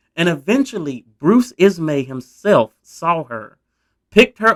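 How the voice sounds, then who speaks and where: In a dry, close recording with no echo, a man with a Southern US accent speaks with lively intonation. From US South. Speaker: history YouTuber. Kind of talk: casual storytelling narration. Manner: conversational, informal.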